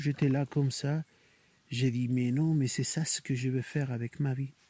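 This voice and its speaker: A man's somewhat breathy, dark, mellow voice at a fairly high pitch, dry and close with no echo, on a very clean recording with a silent background. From Spain, Barcelona region (Catalonia). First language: Spanish or Catalan (speaking French). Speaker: clown. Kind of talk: interview. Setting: outdoors in a forest. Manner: hesitant, with fillers.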